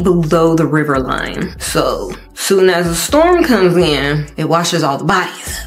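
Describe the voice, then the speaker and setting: Faint music plays in the background as a woman with a fairly low pitch talks at a very slow pace. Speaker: TV show recap host. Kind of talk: commentary. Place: home room. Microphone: studio mic.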